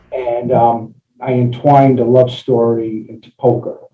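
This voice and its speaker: A somewhat breathy man's voice at a fairly slow pace. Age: 60s. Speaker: engineer and novelist. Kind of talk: interview. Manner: halting, many fillers.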